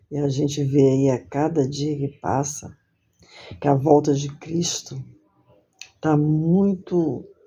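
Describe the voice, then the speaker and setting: At a very slow pace, a woman speaks in a very deep, low pitch with a monotone, flat intonation and long, frequent pauses. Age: 60s. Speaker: lay preacher. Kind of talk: sermon; testimony.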